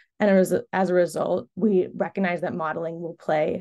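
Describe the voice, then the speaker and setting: A woman with a medium pitch and a dark, mellow tone speaks with vocal fry and ordinary pitch variation. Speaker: carbon removal buyer, webinar speaker. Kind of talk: webinar presentation.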